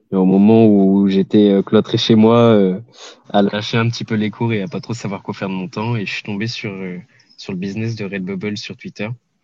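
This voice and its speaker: This man has a dark, mellow tone and a fairly low pitch, talking at a moderate pace with fairly even intonation and big swings in loudness. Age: 20s. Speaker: online entrepreneur, scraping specialist. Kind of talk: podcast interview. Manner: hesitant, many filler sounds.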